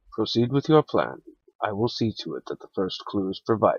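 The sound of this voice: Putting on a character voice, a man talks at a fairly quick pace with a resonant sound.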